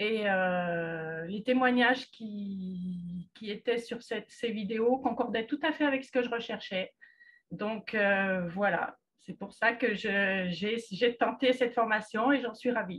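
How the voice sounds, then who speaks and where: A woman's somewhat breathy, fairly high-pitched voice at a very slow pace. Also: ordinary pitch variation. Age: 60s. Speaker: client giving testimonial, retired secretary. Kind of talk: testimony. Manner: halting, frequent hesitations.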